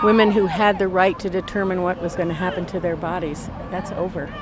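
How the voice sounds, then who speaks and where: A woman at medium pitch and a fairly quick pace, over noticeable background noise. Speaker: protester. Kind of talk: street interview. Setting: outdoors at a street protest.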